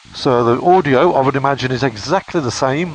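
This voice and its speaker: Noticeable background noise sits behind a man's voice. He speaks at a medium pitch with ordinary pitch variation. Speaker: motorcycle vlogger. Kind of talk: product review vlog.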